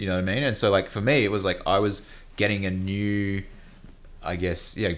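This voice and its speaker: A man speaks in a plain, everyday voice. His pitch is fairly low and his intonation fairly even. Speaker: podcast host. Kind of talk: casual interview chat.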